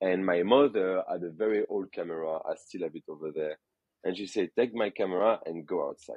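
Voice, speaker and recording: Speaking in a French accent, a man keeps a fairly quick pace. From France, Burgundy. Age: 30s. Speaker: photographer and wine expert. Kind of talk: casual interview. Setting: podcast. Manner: halting.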